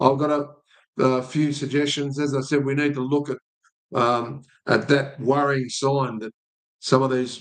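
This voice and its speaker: A fairly slow, monotone, flat delivery in an Australian accent, broken by long, frequent pauses. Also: man, fairly high pitch for a man. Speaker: sports betting tipster host. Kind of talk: sports stats review monologue. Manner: halting, many fillers.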